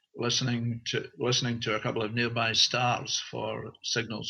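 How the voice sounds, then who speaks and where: A man with a Scottish accent. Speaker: author and researcher. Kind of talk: interview. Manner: halting, with fillers.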